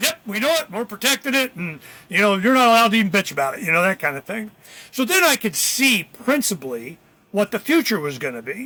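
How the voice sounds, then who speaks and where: A man projects a raised, high-pitched voice with a bright, sharp tone, very wide pitch swings and a very fast pace. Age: 60s. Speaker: political activist. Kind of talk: podcast interview. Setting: podcast. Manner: casual, animated.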